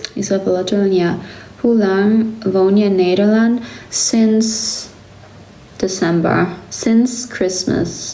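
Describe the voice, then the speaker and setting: A woman with a German accent speaks very slowly at a medium pitch with fairly even intonation. Room echo and background noise are both noticeable. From Germany. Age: 20s. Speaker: livestreamer. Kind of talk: casual chat.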